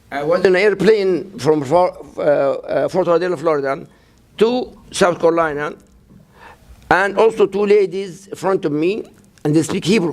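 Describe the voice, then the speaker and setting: This man has a high-pitched voice and a Palestinian accent. He talks at a moderate pace with long, frequent pauses. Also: ordinary pitch variation. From Gaza, Palestine. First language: Arabic. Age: 60s. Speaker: imam. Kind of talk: interview. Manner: halting.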